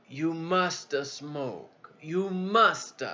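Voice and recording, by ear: A man puts on a character voice with an Italian accent. His pitch sits high.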